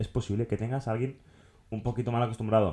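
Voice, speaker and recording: A man speaks at a medium pitch with a dark, mellow tone and a somewhat breathy quality. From Catalonia, Tarragona area. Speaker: podcast co-host. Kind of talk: casual chat.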